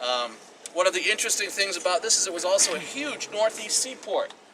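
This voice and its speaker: Noticeable background noise sits behind a man talking at a very fast pace in a raised, projected voice. His tone is animated, with a high pitch and ordinary pitch variation. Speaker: tour guide. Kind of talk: guided tour talk. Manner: loud.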